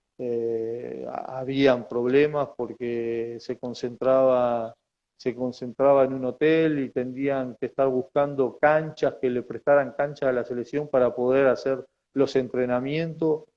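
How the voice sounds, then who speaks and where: Very slowly and with monotone, flat intonation, the speaker talks in a Uruguayan accent. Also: man, medium pitch for a man. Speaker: former footballer. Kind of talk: interview. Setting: video call. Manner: halting.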